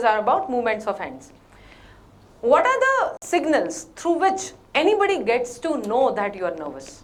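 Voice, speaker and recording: A woman with a Gujarati accent, very wide pitch swings and a fairly quick pace, amid noticeable background noise and audible room echo. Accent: Indian Gujarati. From India, Gujarat (Bhavnagar). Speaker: corporate trainer. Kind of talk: workshop talk. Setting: stage with audience in hotel hall. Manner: Hindi-English code-switching.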